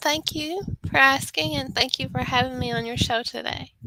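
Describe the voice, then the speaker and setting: Speaking at a moderate pace, a woman talks with a Texan accent. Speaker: author. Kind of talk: interview.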